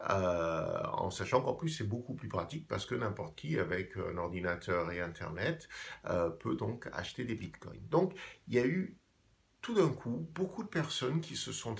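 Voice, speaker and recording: A man with an English accent talks at a fairly slow pace, his voice showing vocal fry and very wide pitch swings. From England. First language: English (speaking French). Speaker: video blogger on finance. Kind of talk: explainer monologue. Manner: hesitant, many fillers.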